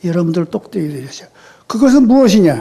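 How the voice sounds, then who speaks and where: Spoken at a moderate pace, the voice swings very widely in pitch. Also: man. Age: 80s+. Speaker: retired senior pastor. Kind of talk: sermon. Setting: church.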